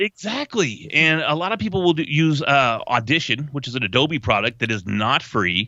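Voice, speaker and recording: In an American accent, the speaker keeps a moderate pace with hardly any pauses, very wide pitch swings and vocal fry. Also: man, fairly high pitch for a man. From North Texas. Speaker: voice over artist. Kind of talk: interview answer. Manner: casual, chatty.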